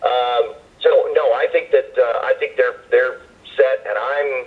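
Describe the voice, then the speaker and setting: With an American accent, a man speaks at an extremely high pitch in a monotone, flat intonation at a moderate pace. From United States. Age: 50s. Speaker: wrestling play-by-play broadcaster. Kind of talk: interview answer.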